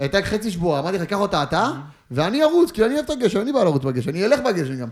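A man with a high voice talks very fast, his pitch swinging very widely. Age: 20s. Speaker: footballer. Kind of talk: casual chat. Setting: studio.

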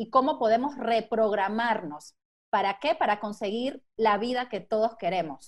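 This woman's voice sits fairly high. Her pitch varies in an ordinary way. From Mexico, raised partly abroad in a Venezuelan-Italian family. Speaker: holistic therapist and life coach. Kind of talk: interview conversation.

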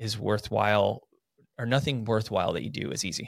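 On a very clean recording with a silent background and a dry, close sound with no echo, a man speaks in a plain, everyday voice at medium pitch and a moderate pace. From North Idaho (Coeur d'Alene). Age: 40s. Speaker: professional triathlete and realtor. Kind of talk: casual chat. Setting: studio.

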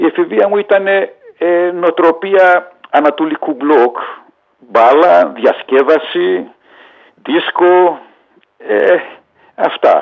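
His pace is very slow, and he leaves long, frequent pauses. The man keeps his loudness very even throughout. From Hungary (Budapest), Greek refugee family. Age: 60s. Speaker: retired footballer. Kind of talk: interview testimony.

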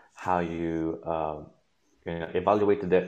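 In a Manchester accent, a man with a very deep, low pitch talks at a fairly slow pace with fairly even intonation. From northern England, Manchester. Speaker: medical student. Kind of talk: interview. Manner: halting.

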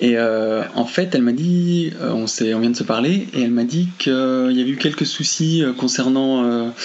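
Noticeable background noise and audible room echo surround a man who talks fairly slowly at medium pitch, with ordinary pitch variation and very even loudness. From France. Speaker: friend making a phone call. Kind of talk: recorded phone call. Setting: phone call. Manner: halting.

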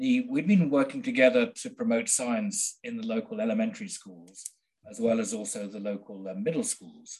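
A man with a Midlands accent speaks at a moderate pace in a fairly high voice. His pitch swings very widely, and his loudness varies a lot. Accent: English (Midlands), educated. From central England. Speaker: biochemist and author. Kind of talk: casual interview conversation.

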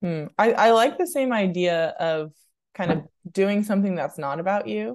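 Using very wide pitch swings, a woman with an American accent speaks at a moderate pace in a medium pitch against a quiet background. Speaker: podcast co-host. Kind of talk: casual chat.

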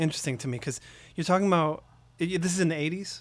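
A man with an American accent talks very fast in a high voice. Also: very clean recording, silent background. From Oakland, California. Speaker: podcast host. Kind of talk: interview. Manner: hesitant, many fillers.

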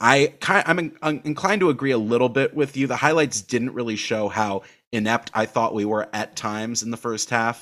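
A man with an American accent and a plain, everyday voice, at medium pitch with ordinary pitch variation, talking at a fairly quick pace with hardly any pauses on a very clean recording with a silent background. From United States. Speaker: football podcast host. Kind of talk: casual chat.

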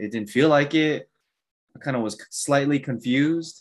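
A man with an American accent uses an ordinary speaking voice at a moderate pace. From Korean American. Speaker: podcast co-host, program coordinator. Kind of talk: casual chat.

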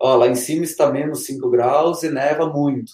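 The speaker is a man. His pitch is fairly high. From southern Brazil, Serra Gaúcha (Rio Grande do Sul). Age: 30s. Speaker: trail runner and running group founder. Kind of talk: interview. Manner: halting, many repetitions.

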